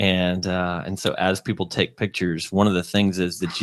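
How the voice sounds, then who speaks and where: In a Texas accent, a man speaks at a very deep, low pitch with flat, monotone intonation on a very clean recording with a silent background. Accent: Texas drawl. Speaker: video podcast host. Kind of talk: casual chat.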